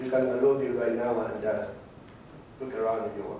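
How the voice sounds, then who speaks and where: With noticeable background noise and audible room echo, a man speaks at a medium pitch. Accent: Spanish. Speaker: conference speaker, open source IT specialist. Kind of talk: conference presentation. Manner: halting, many fillers.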